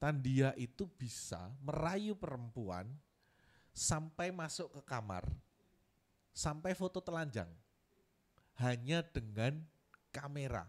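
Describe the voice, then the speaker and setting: A man's fairly high voice, with very wide pitch swings and a very slow pace. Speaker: art curator. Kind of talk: workshop lecture. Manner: casual, conversational.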